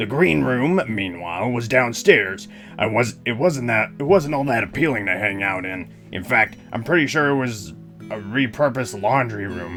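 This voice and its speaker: A man puts on a raspy character voice with a deadpan tone, medium pitch and lively intonation at a moderate pace. Clear music plays in the background. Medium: game stream. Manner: wry, deadpan storytelling.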